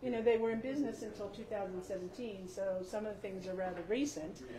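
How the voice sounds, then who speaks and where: Noticeable background noise and audible room echo surround the recording. A woman speaks fairly quickly at medium pitch with ordinary pitch variation. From West Virginia, Eastern Panhandle (Grant County). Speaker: building owner and shop owner. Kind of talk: guided building tour. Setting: inside an old building, in-person tour group. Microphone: stopped using microphones after problems.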